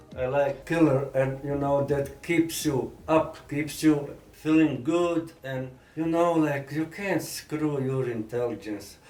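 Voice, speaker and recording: With hardly any pauses, a man speaks at a very slow pace, his voice fairly high with fairly even intonation, over noticeable background noise. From Croatia (Sisak), Yugoslavia. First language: Bosnian/Croatian. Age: 60s. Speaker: rapper. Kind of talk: interview. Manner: halting.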